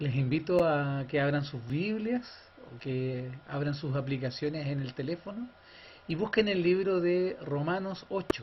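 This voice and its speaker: A man speaks at a fairly slow pace with a fairly high pitch and lively intonation. His voice is somewhat breathy, and there is audible room echo. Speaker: church worship leader. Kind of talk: church service, leading scripture reading.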